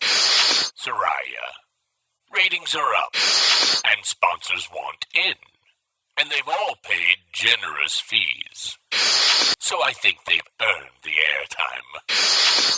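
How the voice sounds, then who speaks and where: Putting on a smug character voice, a man speaks very slowly with long, frequent pauses. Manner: dismissive, smug.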